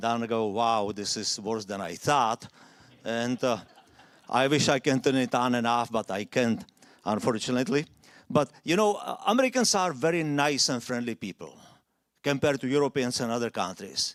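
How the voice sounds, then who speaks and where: Lively intonation marks this man's speech, which carries a non-native accent. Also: medium pitch for a man, moderate pace. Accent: foreign accent, noticeable. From Czechoslovakia. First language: Czech or Slovak. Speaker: immigrant speaker. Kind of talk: public talk.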